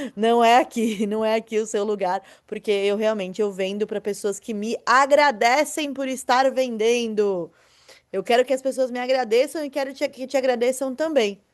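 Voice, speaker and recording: In a quiet setting, a woman with a fairly high pitch talks at a moderate pace in an animated tone with ordinary pitch variation. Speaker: online marketing teacher. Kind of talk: online lecture. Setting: recorded video class.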